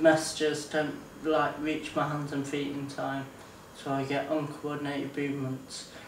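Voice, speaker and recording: A man's fairly high, monotone, flat voice at a fairly slow pace, with audible room echo and noticeable background noise. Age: 20s. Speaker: person with ataxia. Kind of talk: interview testimony. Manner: halting.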